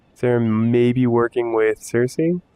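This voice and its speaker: Medium-pitched male speech, with noticeable noise in the background. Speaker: gaming youtuber. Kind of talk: let's play commentary.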